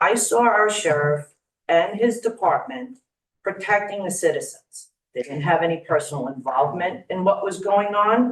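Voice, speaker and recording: With a Long Island accent, a woman speaks at a moderate pace. Her intonation is lively. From Long Island, New York. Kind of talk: public comment speech. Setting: county legislature meeting room.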